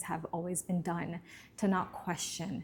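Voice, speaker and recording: A woman's somewhat breathy, fairly low-pitched voice at a fairly slow pace. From Bermuda. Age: 30s. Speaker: self-help vlogger. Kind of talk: personal reflective monologue.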